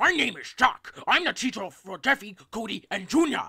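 In a put-on character voice, the speaker talks at a moderate pace with a fairly high pitch and very wide pitch swings. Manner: playful, put-on.

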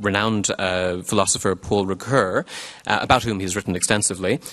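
A man talking very fast against a quiet background. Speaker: event host introducing speaker. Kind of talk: formal introduction speech. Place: stage. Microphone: podium.

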